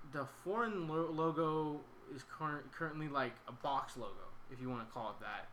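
A man's fairly high voice with an American accent, ordinary pitch variation and a fairly slow pace, in audible room echo. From Sacramento, California. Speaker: podcast host. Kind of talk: casual chat.

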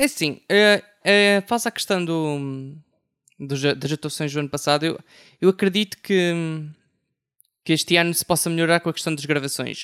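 On a very clean recording with a silent background, a man with a high voice speaks at a moderate pace, leaving long, frequent pauses. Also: ordinary pitch variation. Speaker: music writer. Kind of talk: panel discussion. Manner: halting, many fillers.

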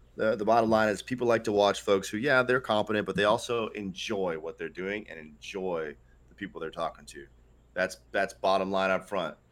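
At a fairly quick pace, a man with an ordinary speaking voice and a fairly low pitch uses ordinary pitch variation and big swings in loudness. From Northeast United States. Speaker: competitive gamer and streamer. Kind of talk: casual interview.

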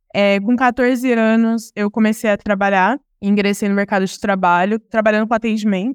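An unremarkable speaking voice at a moderate pace, with fairly even intonation, a dry, close sound with no echo, and a very clean recording with a silent background. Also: woman. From Ribeirão Preto, interior of São Paulo, Brazil. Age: 20s. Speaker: diversity and inclusion professional, entrepreneur. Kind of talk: casual interview.

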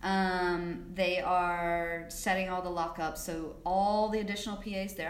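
A woman with an American accent, slow-ish and flat in a monotone, with audible room echo and noticeable background noise. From South Carolina. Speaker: film assistant director. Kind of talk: interview.

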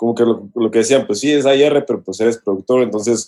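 This man talks at a fairly quick pace in a plain, everyday voice. His pitch is medium and his intonation fairly even. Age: 30s. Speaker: music producer and songwriter. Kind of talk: casual chat.

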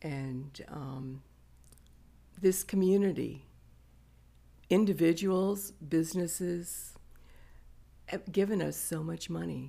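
A woman with a dark, mellow tone and a fairly low pitch speaks at a very slow pace, with ordinary pitch variation and long, frequent pauses. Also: big swings in loudness. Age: 70s. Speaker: community volunteer and Rotarian. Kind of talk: casual interview chat.

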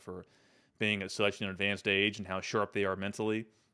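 The speaker has an American accent and talks very fast. The intonation stays flat and monotone. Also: man. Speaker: podcast host and Army veteran. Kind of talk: solo podcast monologue. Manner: halting, many fillers and repetitions.

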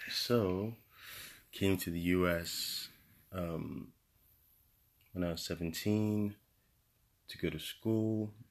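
A quiet voice speaks at a very slow pace with fairly even intonation and long, frequent pauses. The recording is very clean, with a silent background. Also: man, very deep, low pitch for a man. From Nigeria (Lagos). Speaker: engineer, guest spouse. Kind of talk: casual interview.

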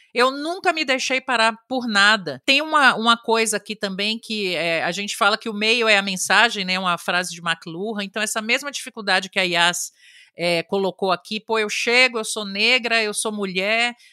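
A woman speaks in a bright, sharp tone at a fairly high pitch with ordinary pitch variation, with a dry, close sound and no echo. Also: moderate pace, hardly any pauses. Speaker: advertising executive and app creator. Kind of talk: podcast interview.

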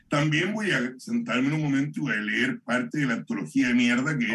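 A man speaks at a fairly high pitch and a fairly quick pace. His pitch swings very widely. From Chile, Santiago. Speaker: poet and performer. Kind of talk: casual chat. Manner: halting.

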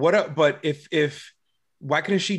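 A man speaks with a fairly high pitch at a moderate pace, in a plain, everyday voice. The background is quiet. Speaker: podcast co-host. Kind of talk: casual chat.

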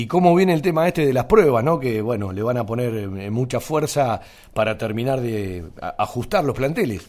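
With a Rioplatense accent, a man talks at a moderate pace and medium pitch, using lively intonation. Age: 50s. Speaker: radio sports host. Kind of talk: radio sports talk show.

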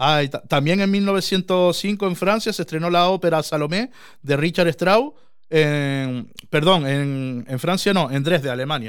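In a very clean recording with a silent background, a man with an ordinary speaking voice talks fairly slowly at a fairly high pitch, with ordinary pitch variation. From Canary Islands. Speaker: podcast host. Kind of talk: casual chat. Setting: small room.

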